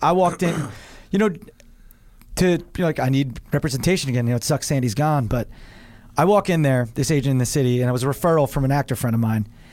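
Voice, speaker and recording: A man with a New Jersey accent talks at a very fast pace in a fairly high pitch, with ordinary pitch variation and very even loudness. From New Jersey shore. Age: 30s. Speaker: actor and comedian. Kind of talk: casual chat.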